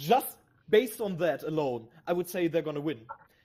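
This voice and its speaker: This man, with a German accent, has a fairly high pitch, a dark, mellow tone and very wide pitch swings. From Germany. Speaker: esports analyst. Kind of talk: esports broadcast commentary.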